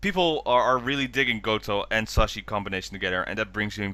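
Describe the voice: This man's tone comes across bright and sharp. He moves along at a fairly quick pace.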